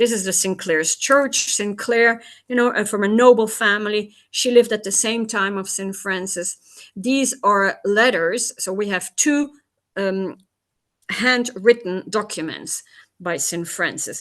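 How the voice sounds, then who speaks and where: A plain, everyday voice: a woman at medium pitch, fairly slow, with ordinary pitch variation against a quiet background. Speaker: tour guide. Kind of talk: lecture.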